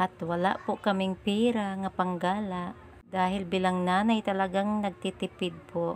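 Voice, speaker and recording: Her intonation is monotone and flat. The woman talks at a medium pitch and a fairly slow pace. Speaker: vlogger, mother. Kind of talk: casual vlog narration.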